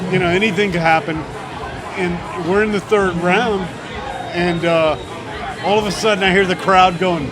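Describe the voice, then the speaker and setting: A high-pitched man speaks with an American accent at a moderate pace, his intonation fairly even. Crowd noise fills the background, and the room echo is audible. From Florida Keys, US. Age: 60s. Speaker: boxing coach. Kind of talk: casual interview chat. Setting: outdoors in front of pizza shop.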